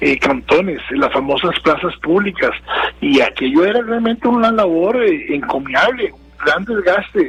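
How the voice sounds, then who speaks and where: Over noticeable background noise, a man with a high pitch speaks at a fairly slow pace, his pitch swinging very widely. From Costa Rica. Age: 60s. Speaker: political analyst. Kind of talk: interview. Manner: hesitant, with many fillers and repetitions.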